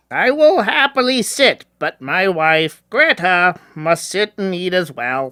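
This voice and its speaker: A man's put-on character voice, high-pitched with very wide pitch swings, fairly slow yet with hardly any pauses, in a dry, close sound with no echo. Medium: audio drama. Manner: simple, polite.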